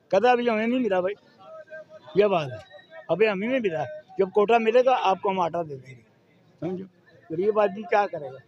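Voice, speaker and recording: Against noticeable background noise, a man speaks high-pitched with lively intonation and big swings in loudness. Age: 70s. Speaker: street vegetable seller. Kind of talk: street interview answer.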